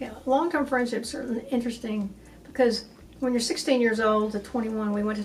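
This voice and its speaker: A woman with a West Texas accent talks very fast with fairly even intonation amid noticeable background noise and audible room echo. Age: 70s. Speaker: author and community speaker. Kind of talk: oral history interview.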